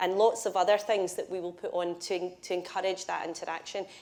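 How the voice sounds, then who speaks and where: A woman speaks at a fairly quick pace in a Scottish accent, her medium-pitched voice monotone and flat. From Scotland. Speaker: build-to-rent industry executive. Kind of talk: panel discussion.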